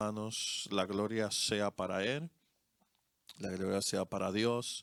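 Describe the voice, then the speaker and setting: A man with a Dominican accent, fairly low pitch and fairly even intonation, in a dry, close sound with no echo on a very clean recording with a silent background. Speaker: co-pastor. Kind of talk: sermon. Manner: halting, many fillers.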